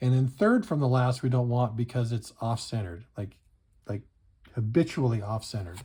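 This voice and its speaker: A man with a medium-pitched, somewhat breathy voice speaks at a moderate pace in an animated tone with ordinary pitch variation, on a very clean recording with a silent background. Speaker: card collecting youtuber. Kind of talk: pack opening commentary. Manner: casual, animated.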